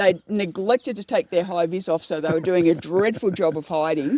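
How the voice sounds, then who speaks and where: A woman speaks at a fairly quick pace with an Australian accent. The sound is dry and close, with no echo. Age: 60s. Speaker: horticulturist. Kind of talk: casual chat. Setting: outdoors.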